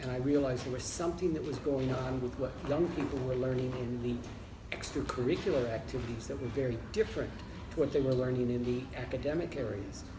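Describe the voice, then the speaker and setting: A man with an American accent talks with hardly any pauses. Noticeable background noise and audible room echo are in the recording. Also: medium pitch for a man, ordinary pitch variation, fairly quick pace. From United States (Michigan). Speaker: leisure studies academic. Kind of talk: interview. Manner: hesitant with fillers.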